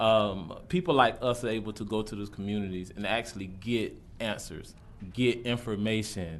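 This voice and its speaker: An American-accented man speaks at a fairly low pitch and a moderate pace, with ordinary pitch variation. Audible room echo surrounds his voice. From Jacksonville, Florida (US South). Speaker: college student, public commenter. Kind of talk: public comment at a government meeting. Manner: halting, many fillers.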